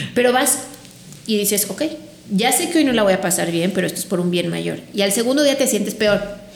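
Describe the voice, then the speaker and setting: A woman at a medium pitch speaks at a fairly quick pace with lively intonation. Audible room echo and noticeable background noise surround her voice. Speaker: sleep consultant. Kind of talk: interview.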